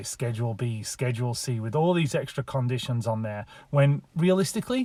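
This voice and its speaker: With a northern English accent, a man speaks fairly quickly at a medium pitch, showing ordinary pitch variation and a dark, mellow tone in a very clean recording with a silent background. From England, Lancashire. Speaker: real estate agent. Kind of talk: casual talk to camera.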